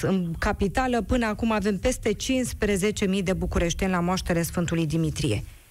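Delivery is fairly slow with ordinary pitch variation. Audible room echo surrounds the voice. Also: woman. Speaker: radio host. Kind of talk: radio talk show hosting.

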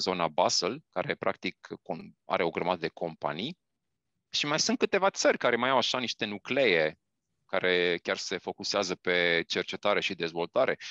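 Fairly low in pitch yet bright and sharp in tone, a man speaks at a moderate pace in a dry, close recording with no echo. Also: quiet background. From Romania. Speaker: vaccine research scientist. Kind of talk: interview. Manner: halting.

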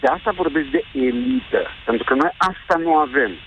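A man's fairly high voice with very wide pitch swings at a fairly slow pace, over noticeable background noise. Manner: soft-spoken.

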